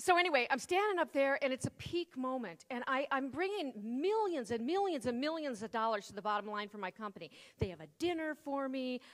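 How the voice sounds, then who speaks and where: With a Midwestern accent, a woman talks fairly quickly in an animated tone at a high pitch, hardly pausing. Her pitch swings very widely and her loudness swings a lot. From US Midwest. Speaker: keynote speaker. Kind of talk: keynote speech. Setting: stage with audience.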